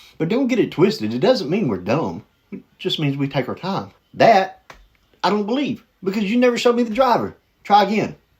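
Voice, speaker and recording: A man with an animated tone speaks at a fairly quick pace, his high voice rising and falling in lively intonation. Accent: Southern US. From US South. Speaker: reaction video host. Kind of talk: casual commentary reacting to videos.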